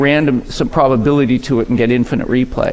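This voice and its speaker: Amid noticeable background noise and audible room echo, a man speaks fairly quickly at a fairly high pitch. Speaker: keynote speaker. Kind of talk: conference keynote. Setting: stage with audience. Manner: fast when passionate; conversational, engaging.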